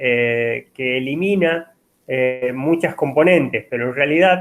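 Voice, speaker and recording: The man's pitch is fairly high, with ordinary variation. He speaks at a fairly slow pace. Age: 50s. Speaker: university lecturer. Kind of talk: lecture. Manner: halting, many fillers.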